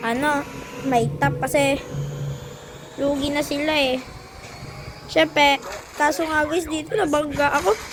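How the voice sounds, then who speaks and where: Amid noticeable background noise, a woman speaks in a high voice at a fairly slow pace with long, frequent pauses, fairly even intonation and very even loudness. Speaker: gaming youtuber. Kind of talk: gameplay commentary. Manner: casual, chatty.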